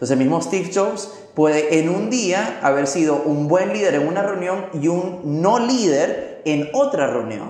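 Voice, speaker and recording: A high-pitched man's voice, lively in intonation and fairly slow yet with hardly any pauses, amid noticeable background noise and audible room echo. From Venezuela. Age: 30s. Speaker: motivational speaker and trainer. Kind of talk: interview. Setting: coworking space.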